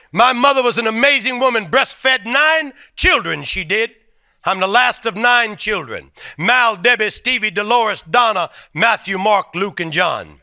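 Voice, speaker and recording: A man's raised, projected voice, high-pitched, with a bright, sharp tone. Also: ordinary pitch variation, moderate pace, very clean recording, silent background. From New Orleans, Louisiana (Cajun family). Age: 60s. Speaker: comedian. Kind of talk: stand-up. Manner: animated.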